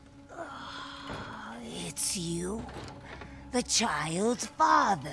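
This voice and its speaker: Over clear background noise, a woman does a put-on character voice in a fairly low pitch. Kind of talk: horror game cutscene. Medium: video game. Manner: ominous, unhinged, laughing.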